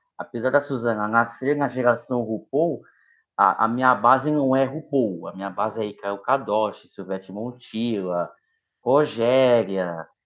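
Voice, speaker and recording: A man's medium-pitched voice at a fairly slow pace, on a very clean recording with a silent background. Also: ordinary pitch variation. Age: 30s. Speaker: journalist and drag queen sports show host. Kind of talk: interview. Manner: halting, repeats words.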